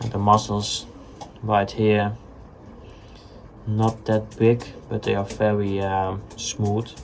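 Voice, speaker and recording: The speaker has a Dutch accent, and noticeable background noise runs underneath. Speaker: pigeon fancier. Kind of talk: casual tutorial.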